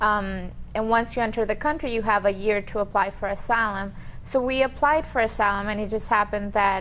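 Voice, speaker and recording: Keeping her intonation fairly even, a woman moves along at a fairly quick clip. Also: medium pitch for a woman. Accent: Colombian. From Colombia. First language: Spanish. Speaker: immigration attorney. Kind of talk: interview.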